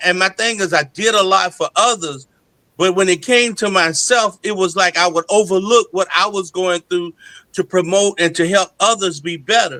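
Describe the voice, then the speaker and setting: A man projects a raised voice at a high pitch, with a bright, sharp tone and ordinary pitch variation. He keeps a moderate pace, and the sound is dry and close with no echo. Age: 60s. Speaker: gospel singer and pastor. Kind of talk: interview testimony.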